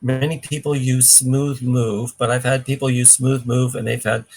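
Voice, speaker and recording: A man speaks at medium pitch in a somewhat breathy voice. His pace is moderate and his intonation monotone and flat. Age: 60s. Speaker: cleanse program expert. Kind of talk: live Q&A.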